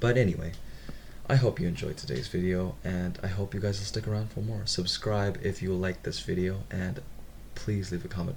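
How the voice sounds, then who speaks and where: A very deep, low-pitched, somewhat breathy male voice at a fairly quick pace, with ordinary pitch variation. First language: not English. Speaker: reddit story reader, gamer. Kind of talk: reading aloud with casual commentary. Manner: some stuttering; casual.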